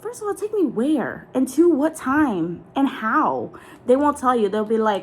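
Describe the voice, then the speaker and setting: A woman with an American accent speaks high and animated at a fairly slow pace. Her pitch swings very widely, and noticeable background noise is present. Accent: Southern US accent, comes out at times. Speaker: content creator. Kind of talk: casual chat.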